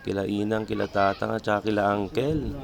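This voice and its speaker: Over noticeable background noise, a man speaks at a fairly quick pace in a fairly low pitch with fairly even intonation. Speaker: vlogger. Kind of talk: casual vlog narration. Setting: outdoors at a cemetery.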